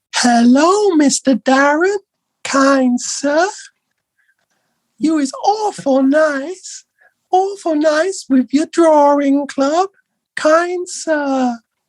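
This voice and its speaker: A put-on character voice, high-pitched and very slow, with long, frequent pauses. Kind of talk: ungrammatical, deferential. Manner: silly, polite, comical.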